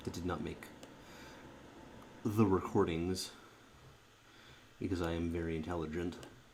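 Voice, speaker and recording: Soft-spoken and very deep in pitch, a man talks with fairly even intonation and long, frequent pauses amid audible room echo. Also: moderate pace. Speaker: card game streamer. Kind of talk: gameplay commentary. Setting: recording at home at night. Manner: halting.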